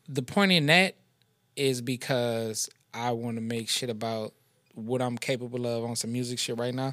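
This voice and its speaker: Delivered at a moderate pace with ordinary pitch variation, the voice carries an American accent. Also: man, medium pitch for a man. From New Orleans, Louisiana. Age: 30s. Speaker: rapper. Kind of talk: casual chat.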